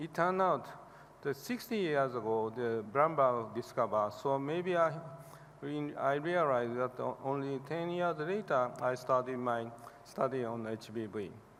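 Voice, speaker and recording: A man speaks with a Japanese accent. His medium-pitched voice has lively intonation. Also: moderate pace. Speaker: hepatologist. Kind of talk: award acceptance speech. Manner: halting.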